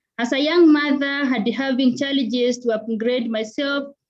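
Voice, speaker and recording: At a very slow pace, a woman talks at a high pitch with fairly even intonation. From Kenya. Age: 20s. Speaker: health worker. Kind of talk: acceptance speech. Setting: video call from hospital.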